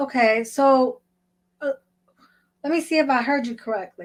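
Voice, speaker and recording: Spoken very slowly in an American accent, the voice has lively intonation. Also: woman. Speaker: podcast co-host. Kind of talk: casual conversational podcast talk.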